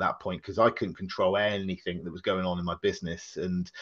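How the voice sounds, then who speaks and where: Against a quiet background, a man speaks at a fairly low pitch. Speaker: podcast guest, laughter yoga facilitator. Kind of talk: interview answer. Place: home room. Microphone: video call.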